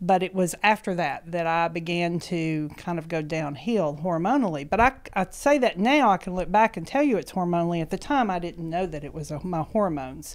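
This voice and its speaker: With an East Tennessee accent, the speaker talks at a fairly quick pace with lively intonation and hardly any pauses over a quiet background. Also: woman, fairly low pitch for a woman. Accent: Southern US (East Tennessee). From US South (East Tennessee). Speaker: schoolteacher. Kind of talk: interview, personal health story. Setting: office. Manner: laughs often. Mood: warm, reflective personal story. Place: studio. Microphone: handheld.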